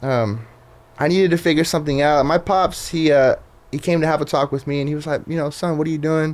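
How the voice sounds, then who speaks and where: Talking at a very fast pace with a Southern California accent, a man holds a fairly high pitch and fairly even intonation. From Southern California (Riverside). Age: 20s. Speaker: Instagram page creator, former truck driver. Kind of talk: casual podcast interview. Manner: casual, filler-heavy.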